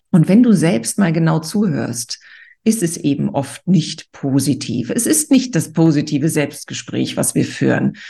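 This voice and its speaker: With a dark, mellow tone and vocal fry, a woman talks in a very deep, low pitch that swings very widely. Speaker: podcast host and author. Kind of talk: pep talk. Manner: motivating, energetic; direct, addressing listener as du.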